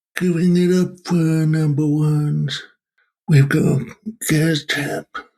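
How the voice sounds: Someone puts on a character voice and speaks at a fairly slow pace. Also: man.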